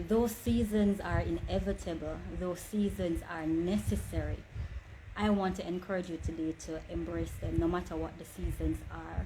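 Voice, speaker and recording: A woman speaks in a space with audible room echo and noticeable background noise. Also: moderate pace. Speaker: online inspirational speaker. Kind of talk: motivational talk. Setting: livestream.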